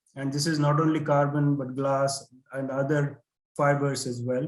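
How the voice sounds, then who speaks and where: A man talks at a moderate pace in a fairly high pitch. Audible room echo surrounds his voice. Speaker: conference presenter. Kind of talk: conference presentation. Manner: hesitant, many fillers.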